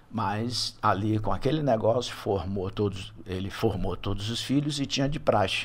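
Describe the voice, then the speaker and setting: A man with a Bahian accent speaks at a moderate pace with hardly any pauses, his fairly low, somewhat breathy voice showing ordinary pitch variation. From Salvador, Bahia, Brazil. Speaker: retired HR executive and business advisor. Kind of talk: podcast interview.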